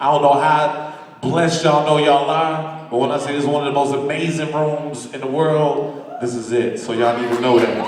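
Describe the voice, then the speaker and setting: Over noticeable background noise, a man talks at a fairly quick pace in a fairly high, monotone voice with flat intonation. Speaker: spoken word poet. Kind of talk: stage banter to live audience. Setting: live venue.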